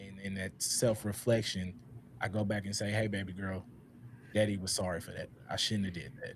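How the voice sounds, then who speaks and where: Pitched fairly low, a man speaks at a moderate pace in a somewhat breathy voice with fairly even intonation. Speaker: podcast host. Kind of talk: panel discussion. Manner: halting.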